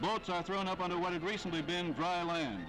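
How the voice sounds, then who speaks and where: A man speaks at a high pitch for a man. His pace is moderate, with music playing in the background. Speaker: newsreel narrator. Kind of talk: wartime newsreel narration.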